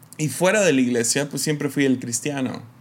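This man has a fairly high pitch and a slight American accent. His pitch varies in an ordinary way. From Mexico. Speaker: podcast host. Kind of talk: reflective faith talk. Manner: casual, with many fillers.

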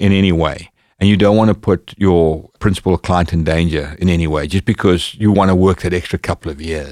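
A man with a very deep, low voice talks at a fairly quick pace with hardly any pauses, recorded very cleanly against a silent background. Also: fairly even intonation. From Zimbabwe. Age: 50s. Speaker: bodyguard and instructor. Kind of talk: casual chat.

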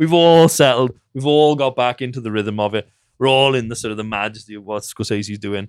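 Speaking with a Welsh accent, a man talks at a fairly quick pace in a medium pitch with ordinary variation. The recording is very clean, the background silent. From Wales. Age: 40s. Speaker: film director. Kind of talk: casual interview. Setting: in-person recording in an office.

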